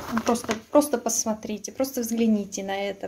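A woman speaks at a moderate pace with a dark, mellow tone. Her voice is somewhat breathy. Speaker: food reviewer. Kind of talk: casual vlog chat. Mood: sarcastic, disappointed. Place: kitchen. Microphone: phone near.

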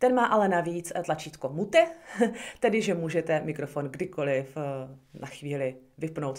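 The setting has a quiet background. In it, a woman talks with ordinary pitch variation. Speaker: product reviewer. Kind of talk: tutorial. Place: home room. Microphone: phone near.

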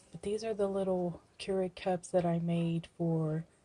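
Soft-spoken and somewhat breathy, this voice has a dark, mellow tone and moves at a very slow pace in a flat, unvarying monotone. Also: woman. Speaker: crafting YouTuber. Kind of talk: casual video blog. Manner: quiet, soft-spoken; hesitant, with fillers. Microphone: phone near.

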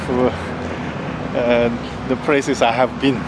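Loud background noise fills the recording. Over it, a man talks at a fairly slow pace. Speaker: travel vlogger. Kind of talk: casual vlog chat. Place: street. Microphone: phone near.

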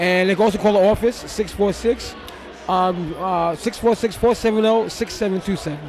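Delivered at a moderate pace with ordinary pitch variation, the speech has faint background noise behind it. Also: man, high pitch for a man.

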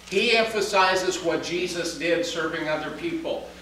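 A man's voice has a bright, sharp tone, with strong echo filling the room.

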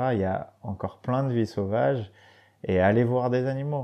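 A man speaks at a fairly slow pace with a dark, mellow tone. His pitch varies in an ordinary way over a quiet background. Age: 30s. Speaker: professional adventurer and former racing cyclist. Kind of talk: casual interview chat. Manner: halting, many hesitations and repeated words.

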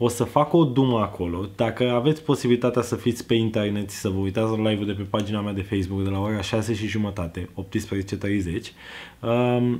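A man's fairly low pitch with a slightly mellow tone and fairly even intonation.

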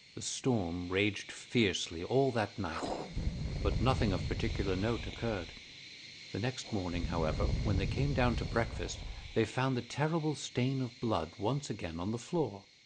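A man with lively intonation against noticeable background noise. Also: fairly low pitch for a man, moderate pace. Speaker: voice actor. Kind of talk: audiobook reading.

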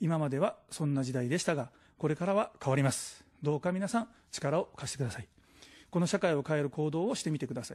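Very fast, lively speech from a man, fairly high-pitched and somewhat breathy, against a quiet background. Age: 40s. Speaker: political candidate; candidate. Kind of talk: political campaign speech. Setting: studio. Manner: formal. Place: studio. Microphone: podium.

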